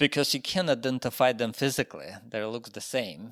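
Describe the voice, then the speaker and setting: A man with a Ukrainian accent, ordinary pitch variation, dry and close sound with no echo, very clean recording against a silent background. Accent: Russian-speaking Ukrainian accent in English. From Ukraine. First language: Russian. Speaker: sculptor. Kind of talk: interview. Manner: halting, many fillers.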